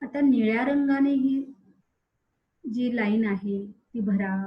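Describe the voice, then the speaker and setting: A plain, everyday voice speaks with ordinary pitch variation. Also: woman. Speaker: meditation guide. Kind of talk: guided meditation.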